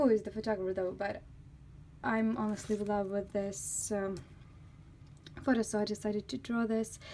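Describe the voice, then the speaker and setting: Her voice has a dark, mellow tone and a fairly high pitch. The woman speaks with a non-native accent. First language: not English. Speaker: artist. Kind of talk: casual talk to camera. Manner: talkative.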